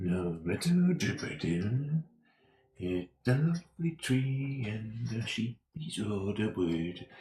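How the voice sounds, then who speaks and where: Putting on a gravelly character voice, a man mumbles at a very slow pace and medium pitch, with slight echo. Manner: mumbling, grovelling.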